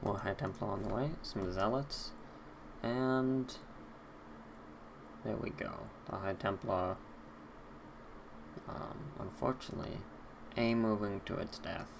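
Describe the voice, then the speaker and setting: With an American accent, a man speaks in a fairly low pitch at a fairly slow pace, leaving long, frequent pauses amid noticeable background noise. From US Northeast, Boston. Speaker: esports caster. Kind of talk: live commentary. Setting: live stream.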